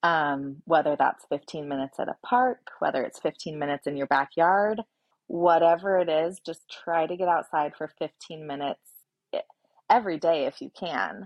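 A woman talks in an unremarkable speaking voice, fairly low in pitch. Her pace is fairly slow, with ordinary pitch variation. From US Pacific Northwest (Oregon). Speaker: small business owner and mom of four. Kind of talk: podcast interview.

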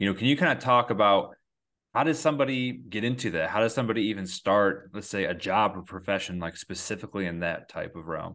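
A man talks very fast with lively intonation and a bright, sharp tone. His pitch is fairly low, and the background is quiet. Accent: Upstate New York. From Endicott, upstate New York. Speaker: podcast host. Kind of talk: casual interview chat.

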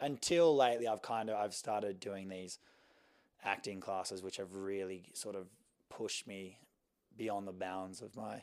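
A man with an Australian accent speaks at a moderate pace, his fairly low voice following fairly even intonation. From Sydney, Australia. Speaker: fashion model. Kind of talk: interview.

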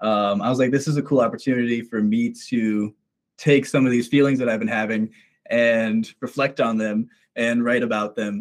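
Here is a man with a normal speaking voice at medium pitch. He keeps a moderate pace with ordinary pitch variation. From Minnesota, US. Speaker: musician. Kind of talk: casual interview.

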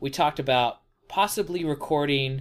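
In a very clean recording with a silent background, a man with a plain, everyday voice speaks at a fairly slow pace with ordinary pitch variation. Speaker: podcast host. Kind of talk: casual chat about a book series. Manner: joking, playful banter.

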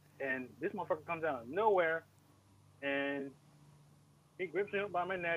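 A man with an East Coast US accent and a high voice speaks at a moderate pace with long, frequent pauses. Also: ordinary pitch variation. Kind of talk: casual chat.

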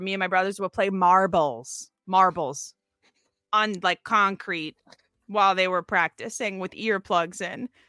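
On a very clean recording with a silent background and a dry, close sound with no echo, a woman with an American accent speaks at a moderate pace in a bright, sharp tone with ordinary pitch variation. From Minnesota. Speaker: sports reporter and musician. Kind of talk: casual chat.

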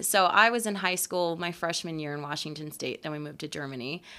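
Her tone is bright and sharp, in an American accent. The woman is captured in a very clean recording with a silent background. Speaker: podcast host. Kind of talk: casual chat.

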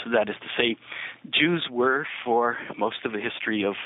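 With a Canadian accent, a man speaks at a medium pitch and a moderate pace. His pitch varies in an ordinary way against noticeable background noise. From Canada (Niagara Falls, Ontario). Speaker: historian and author. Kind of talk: interview.

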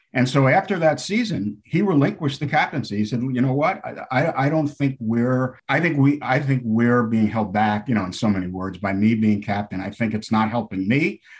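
A man's unremarkable speaking voice at medium pitch, with lively intonation, a moderate pace, and hardly any pauses. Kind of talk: live commentary (replayed broadcast goal call). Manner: excitable, punchy goal call.

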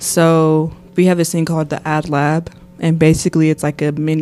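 A woman speaks with a very deep, low voice. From Nashville, Tennessee. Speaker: university student activist. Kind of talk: casual interview.

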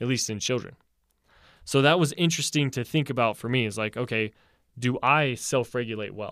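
A normal speaking voice from a man, medium pitch, ordinary pitch variation, fairly quick pace, very clean recording with a silent background. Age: 20s. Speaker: university student and podcast co-host. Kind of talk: casual chat.

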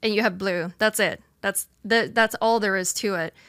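A bright, sharp tone at a moderate pace, in a dry, close sound with no echo and a very clean recording with a silent background. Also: woman. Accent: Swedish. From Sweden. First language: Swedish. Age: 20s. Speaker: streamer. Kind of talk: casual debate interview.

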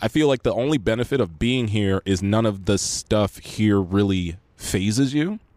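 With a plain, everyday voice and an American accent, a man with a fairly low pitch talks at a moderate pace with hardly any pauses, ordinary pitch variation and very even loudness, in a dry, close sound with no echo. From Los Angeles, San Fernando Valley. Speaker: actor and YouTuber. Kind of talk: casual chat. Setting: late-night podcast in a yard.

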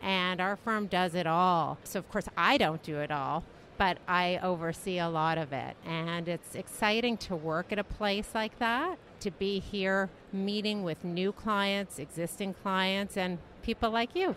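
A woman with a Canadian accent speaks in a plain, everyday voice at medium pitch. Her pace is fairly slow, with ordinary pitch variation. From Canada. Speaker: trademark lawyer. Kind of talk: interview. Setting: conference expo booth.

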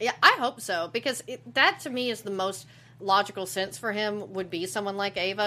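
This woman's voice sits at a medium pitch with ordinary variation and has a bright, sharp tone. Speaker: podcast co-host. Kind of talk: casual chat.

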